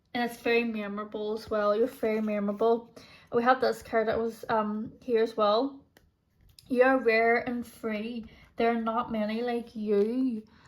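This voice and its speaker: The speaker has a Northern Irish accent and talks at a moderate pace with monotone, flat intonation. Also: woman, fairly high pitch for a woman. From Northern Ireland. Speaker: tarot reader. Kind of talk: tarot pick-a-card reading. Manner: casual, lots of filler words.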